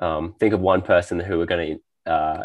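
A man speaks with an Australian accent in a very deep, low voice. His pace is moderate and the background is quiet. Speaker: podcast host. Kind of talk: casual interview chat.

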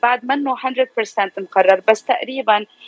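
Noticeable background noise surrounds a woman who speaks at a fairly slow pace with ordinary pitch variation. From Lebanon (Beirut), raised in US from age 4. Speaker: media presenter and actress. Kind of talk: radio interview.

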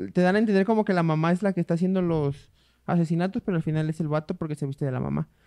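Speaking very fast with fairly even intonation, a man with a high-pitched voice is heard in a dry, close recording with no echo. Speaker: podcast co-host. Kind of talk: casual chat.

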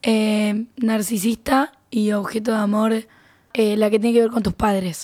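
A woman speaks in a fairly high, somewhat breathy voice with monotone, flat intonation. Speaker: podcast co-host, psychology student. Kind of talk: casual chat.

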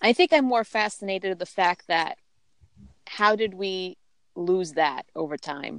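Against a quiet background, a woman with a plain, everyday voice speaks at medium pitch and a fairly slow pace with ordinary pitch variation, the sound dry and close with no echo. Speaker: podcast host. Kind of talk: casual chat.

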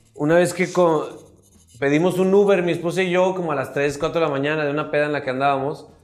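Over noticeable background noise and audible room echo, a man with a fairly high pitch talks at a very fast pace with fairly even intonation. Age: 30s. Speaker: comedian. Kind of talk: casual chat.

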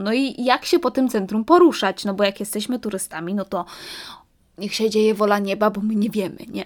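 A woman speaks at a fairly high pitch. Her tone is animated and her intonation lively. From London, Poland-born family. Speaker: podcaster, student. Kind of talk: casual monologue podcast.

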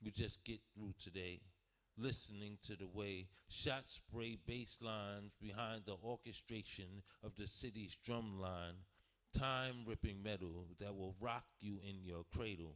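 A man with an unremarkable speaking voice, fairly low pitch, fairly even intonation and a fairly slow pace. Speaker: open mic host and spoken word poet. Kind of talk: spoken word poetry performance. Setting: open mic night with live audience.

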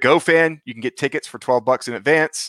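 On a very clean recording with a silent background and a dry, close sound with no echo, a man speaks at a fairly quick pace with ordinary pitch variation. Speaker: soccer podcast co-host. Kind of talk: casual chat. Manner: loud.

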